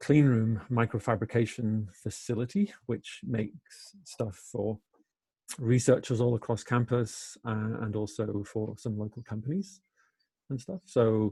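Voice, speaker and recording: A man's somewhat breathy voice at medium pitch, fairly even intonation and a fairly slow pace. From Wales. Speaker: engineering professor. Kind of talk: webinar interview. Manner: hesitant, many fillers.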